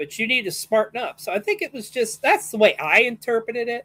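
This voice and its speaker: On a very clean recording with a silent background, a woman with a fairly high pitch and vocal fry talks at a moderate pace. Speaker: wrestling podcast host. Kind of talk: casual chat.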